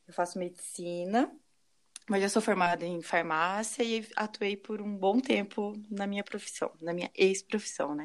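A woman's normal speaking voice at medium pitch and a fairly slow pace. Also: ordinary pitch variation. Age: 30s. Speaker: medical student, former pharmacist. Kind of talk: casual chat.

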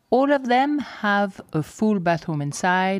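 In a very clean recording with a silent background, a woman speaks with a Swiss French accent. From French-speaking Switzerland, near Geneva. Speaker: safari lodge co-owner. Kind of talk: solo podcast monologue.

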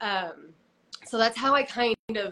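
A woman talks in a bright, sharp tone with fairly even intonation. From Utah. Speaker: preparedness influencer. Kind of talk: interview.

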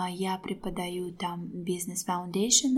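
Her voice is somewhat breathy and sits at a medium pitch. The woman's intonation stays fairly even. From Azerbaijan. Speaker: teacher and author. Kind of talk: casual interview conversation. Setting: public place.

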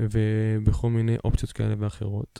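The sound is dry and close with no echo. A man speaks at a moderate pace in a fairly low pitch. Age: 20s. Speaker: podcast host. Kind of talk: casual monologue. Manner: hesitant, many fillers.

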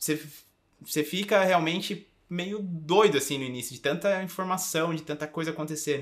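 A man with a plain, everyday voice speaks at a moderate pace and a fairly high pitch, with ordinary pitch variation. His loudness swings widely, and the recording is very clean with a silent background. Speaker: podcast co-host. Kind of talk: casual chat. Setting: recording in Bonito, Brazil.

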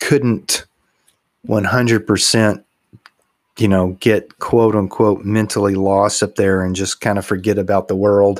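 A fairly low-pitched man with a Texas accent, fairly slow and monotone with flat intonation. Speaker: podcast co-host. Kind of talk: casual chat, humorous banter. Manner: humorous, jokey.

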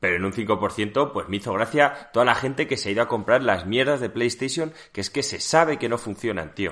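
Against a quiet background, a man at medium pitch talks at a fairly quick pace with ordinary pitch variation and hardly any pauses. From Seville, Spain. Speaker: podcast co-host. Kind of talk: casual chat.

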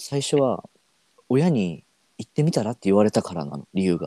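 A man talks at a moderate pace in a dark, mellow tone, with very wide pitch swings. The sound is dry and close, with no echo. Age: 20s. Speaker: travel photographer. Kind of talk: casual chat.

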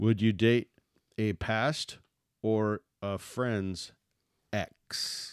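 A man with a fairly low pitch talks in a playful tone at a very slow pace, his intonation fairly even, with long, frequent pauses, and the sound is dry and close with no echo. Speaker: podcast co-host. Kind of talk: casual banter. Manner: joking, playful.

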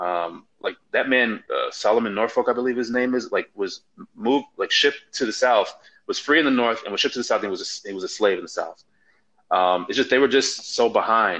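At a fairly quick pace, a man talks with a Chicago accent. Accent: Chicago American English. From US Midwest, Chicago, Nigerian family. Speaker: podcast panelist. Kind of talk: casual chat.

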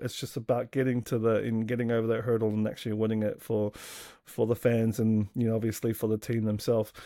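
With an Australian accent, a man talks at a fairly quick pace in a medium pitch with a dark, mellow tone. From Australia, south Sydney. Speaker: rugby league fan, podcast guest. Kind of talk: casual chat.

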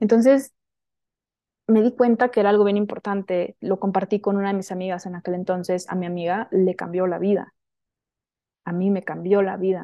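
A woman's medium-pitched voice at a moderate pace. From Sonora, northern Mexico (Hermosillo). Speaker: women's spiritual teacher. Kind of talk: casual interview chat.

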